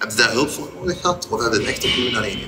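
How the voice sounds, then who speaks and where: Clear music plays in the background behind a man. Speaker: interviewer. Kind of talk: interview question. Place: hall. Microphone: lapel.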